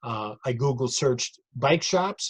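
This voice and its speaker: A somewhat breathy man with an American accent and fairly high pitch, dry, close sound with no echo, and a quiet background. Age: 60s. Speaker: retired cycling event director. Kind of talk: narrated slide show lecture. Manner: conversational, with fillers and repetitions.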